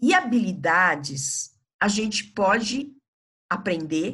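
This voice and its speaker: A woman's fairly high voice has a bright, sharp tone and very wide pitch swings. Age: old. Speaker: palliative care physician. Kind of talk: podcast interview.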